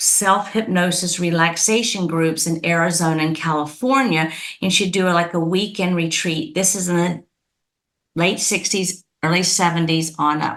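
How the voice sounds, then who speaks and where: At a moderate pace, a woman talks with fairly low pitch and fairly even intonation. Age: 60s. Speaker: hypnotist. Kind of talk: podcast interview.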